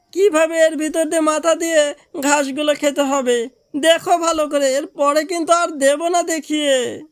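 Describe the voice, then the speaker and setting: High-pitched cartoonish character voice at a moderate pace over faint music in the background. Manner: scheming, wheedling.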